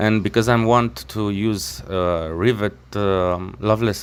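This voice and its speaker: A man with a non-native accent and a fairly low pitch, at a very slow pace. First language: not English. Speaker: knife maker. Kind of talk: workshop tutorial voice-over. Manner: halting, many fillers and restarts.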